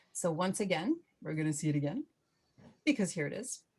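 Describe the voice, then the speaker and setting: A woman with a medium-pitched voice sounds somewhat breathy. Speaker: knitting instructor. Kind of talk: tutorial. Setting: video call.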